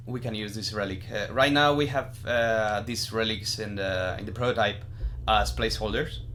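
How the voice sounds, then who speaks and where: A man's fairly low-pitched voice in fairly even intonation, with audible room echo. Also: moderate pace. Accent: Spanish. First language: Spanish. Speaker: game developer. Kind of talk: developer commentary. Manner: halting.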